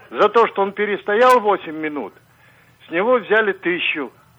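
Here a man speaks with a high pitch and ordinary pitch variation. His pace is fairly slow. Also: long, frequent pauses. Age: old. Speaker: actor and TV presenter. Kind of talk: phone interview. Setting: phone call. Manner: animated.

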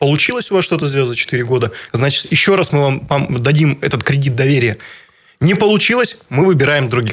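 Lively intonation from a somewhat breathy man with a fairly high pitch. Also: fairly quick pace. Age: 30s. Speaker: regional politician and businessman. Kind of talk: radio interview. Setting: radio studio. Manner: halting, many fillers.

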